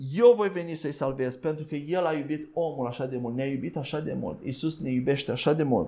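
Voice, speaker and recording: At a fairly quick pace with hardly any pauses, a man talks in a dark, mellow tone, his fairly high pitch showing ordinary variation. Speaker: preacher. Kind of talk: sermon. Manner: halting.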